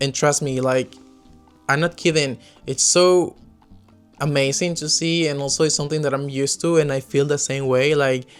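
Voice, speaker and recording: A man with a Spanish accent and a fairly high pitch, at a moderate pace with fairly even intonation and long, frequent pauses, music in the background. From Peru. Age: 20s. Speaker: expat podcaster. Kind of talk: casual talk to camera.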